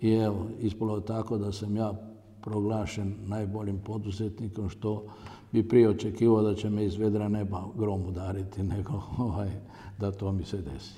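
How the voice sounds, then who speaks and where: The man has a fairly low pitch and a dark, mellow tone, delivered in a flat monotone. Audible room echo surrounds his voice. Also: moderate pace. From Croatia, Zagorje region. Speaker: entrepreneur and company founder. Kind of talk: interview. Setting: on location at company site. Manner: halting.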